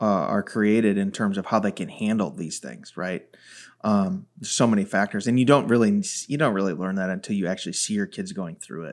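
In a normal speaking voice with an American accent, a man talks at a fairly quick pace and fairly low pitch with ordinary pitch variation, on a very clean recording with a silent background. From US Midwest (Chicago area). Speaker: podcast host, former pastor. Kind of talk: casual interview.

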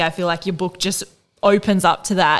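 Speaking at a moderate pace with fairly even intonation, a woman with an Australian accent is heard in a very clean recording with a silent background. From Australia (Northern Rivers, NSW). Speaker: podcast co-host. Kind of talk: casual interview chat.

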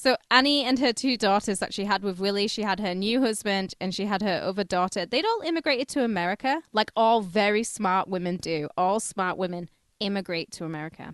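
A woman with a British accent speaks with hardly any pauses. The sound is dry and close, with no echo. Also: medium pitch for a woman, lively intonation, fairly quick pace. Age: 30s. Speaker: podcast co-host. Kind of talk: casual chat.

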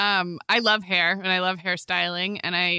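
A woman with medium pitch and a normal speaking voice talks at a moderate pace, the recording very clean with a silent background and a dry, close sound with no echo. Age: 40s. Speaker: podcast host. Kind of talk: casual chat.

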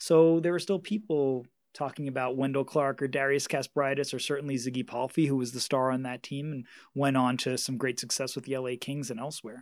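A man with a fairly high pitch talks on a very clean recording against a silent background. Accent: New York. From Queens, New York. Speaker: author and media researcher. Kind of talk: interview.

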